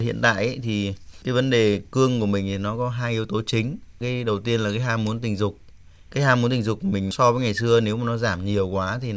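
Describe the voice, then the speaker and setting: A normal speaking voice from a man of medium pitch, at a fairly quick pace with fairly even intonation. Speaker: doctor specializing in andrology. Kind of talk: radio call-in medical advice. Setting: radio studio.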